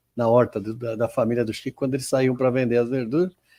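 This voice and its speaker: A man is talking. His tone is dark and mellow. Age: 70s. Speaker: spiritist center host. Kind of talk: casual discussion. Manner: halting.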